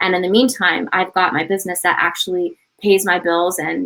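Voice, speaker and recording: At a fairly quick pace, a woman talks in an ordinary speaking voice with a medium pitch. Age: 40s. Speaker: panelist sharing business testimony. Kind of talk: testimony. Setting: webinar.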